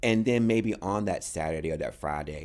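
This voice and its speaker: With an American accent and vocal fry, a man speaks at a moderate pace. His pitch swings very widely in a very clean recording with a silent background. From North Carolina, US South. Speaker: dancer and choreographer. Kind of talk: interview. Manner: animated.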